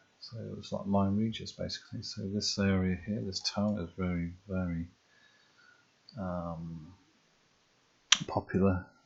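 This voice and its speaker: A soft-spoken man talks at a fairly slow pace. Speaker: ASMR creator. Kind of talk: ASMR geography tour. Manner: softly spoken; hesitant, many fillers.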